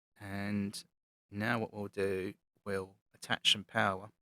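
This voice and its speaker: A man with a British accent, his fairly low voice bright and sharp in tone, recorded dry and close with no echo. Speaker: model railway hobbyist YouTuber. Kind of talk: voice-over tutorial commentary. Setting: recorded voice-over over playback. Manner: monotone.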